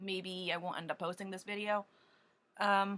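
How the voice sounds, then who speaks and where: A woman shouting loudly at medium pitch, bright and sharp in tone, at a moderate pace. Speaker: doll collector vlogger. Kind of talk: casual chat. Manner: halting, many ums; loud, as if shouting. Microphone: computer camera mic, no microphone, barely audible.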